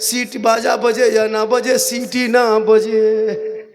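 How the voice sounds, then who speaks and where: Music plays behind a man's voice, which carries audible echo from the room. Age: 50s. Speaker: Islamic preacher. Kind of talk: religious sermon with humor. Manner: animated.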